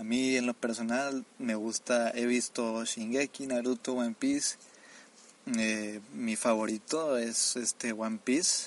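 Using fairly even intonation, a man with a medium pitch talks at a very slow pace. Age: 20s. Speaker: anime reviewer. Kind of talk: casual monologue.

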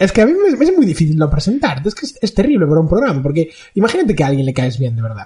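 A very fast, high-pitched man's voice, dark and mellow in tone, with very wide pitch swings. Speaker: podcast co-host. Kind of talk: casual chat.

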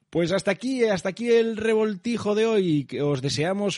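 A man's voice with very wide pitch swings and a dry, close sound with no echo. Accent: slight Asturian. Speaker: radio host. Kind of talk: radio interview; radio show sign-off.

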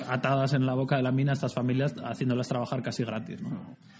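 Over music in the background, a man at medium pitch talks at a very fast pace. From Basque Country, San Sebastián. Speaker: writer and adventurer. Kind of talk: interview.

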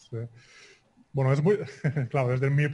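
At a medium pitch, a man speaks in a monotone, flat way, his tone dark and mellow and somewhat breathy. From Spain. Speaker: Spanish teacher. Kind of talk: group discussion. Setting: video conference.

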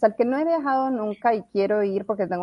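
A woman speaks fairly quickly in a normal speaking voice, her pitch varying in an ordinary way. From moved around Latin America (Colombia's La Guajira, Bolivia, Mexico). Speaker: blockchain consultant. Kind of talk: interview.

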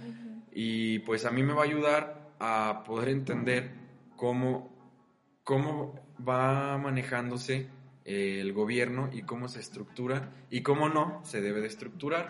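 Fairly slow talk from a man at medium pitch, pitch movement ordinary, room echo audible. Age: 20s. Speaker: student podcast host. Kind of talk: casual chat. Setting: university classroom. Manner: animated.

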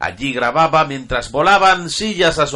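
A bright, sharp tone comes through. The speaker is a man. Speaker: podcast host. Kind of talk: casual chat. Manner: halting, repeats words.

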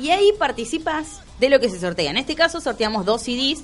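A woman speaks at a fairly quick pace with a Rioplatense accent. Her pitch swings very widely, and music plays in the background. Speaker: radio host. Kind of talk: casual chat.

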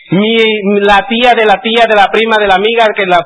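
Noticeable background noise accompanies a man talking at a medium speed. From Mexico, Puebla. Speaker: motivational speaker. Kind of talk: seminar talk.

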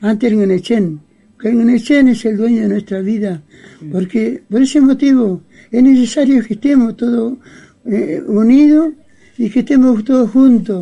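This man has an extremely high pitch yet a dark, mellow tone. He speaks fairly slowly with ordinary pitch variation. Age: 80s+. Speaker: Mapuche elder. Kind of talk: interview. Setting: at his home. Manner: halting.

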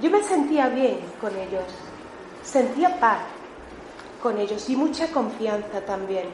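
In a room with audible echo and noticeable background noise, a woman speaks at a very slow pace with a high pitch, very wide pitch swings and long, frequent pauses. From Melilla, Spain. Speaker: church member giving testimony. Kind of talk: testimony.

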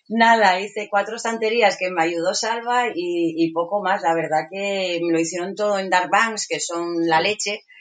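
Against noticeable background noise, a woman at medium pitch speaks at a fairly slow pace with fairly even intonation and hardly any pauses. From Asturias, Spain. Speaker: market stall vendor living in a truck camper. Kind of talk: casual interview.

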